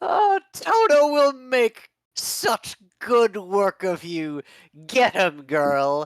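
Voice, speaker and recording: This is a put-on character voice with a fairly high pitch. The pace is very slow. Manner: cackling, menacing.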